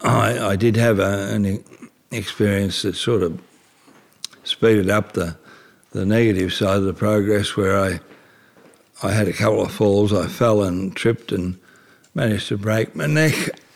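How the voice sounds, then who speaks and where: Delivered at a moderate pace, the speech has fairly even intonation and long, frequent pauses. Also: man, fairly low pitch for a man. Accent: Australian. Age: 70s. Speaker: retired antique dealer with motor neurone disease. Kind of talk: interview.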